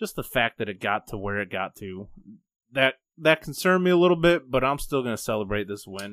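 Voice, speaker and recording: A man talks at a moderate pace in an ordinary speaking voice with lively intonation. The recording is very clean and the background silent. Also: dry, close sound with no echo. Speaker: podcast co-host. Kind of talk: casual sports talk podcast.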